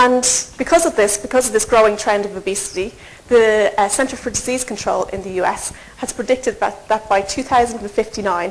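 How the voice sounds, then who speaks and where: A woman with a fairly high pitch talks at a fairly quick pace amid noticeable background noise. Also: ordinary pitch variation. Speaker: nutrition researcher. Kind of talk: lecture. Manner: fast.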